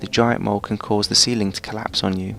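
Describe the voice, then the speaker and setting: Soft-spoken, a man talks at a fairly low pitch with fairly even intonation. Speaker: gaming video narrator. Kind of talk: game guide tutorial. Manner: quiet, soft-spoken.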